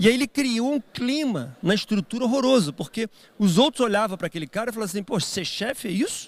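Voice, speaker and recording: In a dry, close recording with no echo, a man talks at a fairly quick pace in a high, animated voice with very wide pitch swings. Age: 60s. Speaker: business executive and speaker. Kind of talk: keynote talk.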